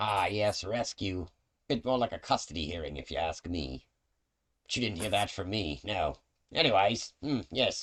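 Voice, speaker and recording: A man puts on a character voice at a fairly low pitch and a moderate pace. The recording is very clean, with a silent background. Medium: actual play. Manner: theatrical, scornful, calls others dearie.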